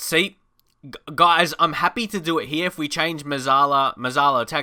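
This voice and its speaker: On a very clean recording with a silent background, a man with an Australian accent speaks at a moderate pace in a fairly high pitch, his bright, sharp tone animated, with ordinary pitch variation and big swings in loudness. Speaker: gaming YouTuber. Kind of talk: gameplay commentary.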